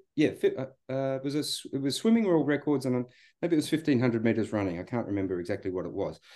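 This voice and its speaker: A man with an Australian accent, medium pitch, a dark, mellow tone, very wide pitch swings and a very fast pace. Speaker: psychology researcher and coach. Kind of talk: casual chat. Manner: halting, repeated words.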